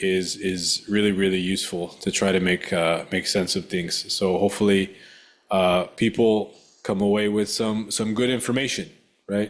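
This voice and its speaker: On a very clean recording with a silent background, a man with a plain, everyday voice talks at a moderate pace and a fairly low pitch with fairly even intonation. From Mexican-American. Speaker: podcast host, exercise physiologist. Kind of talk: interview.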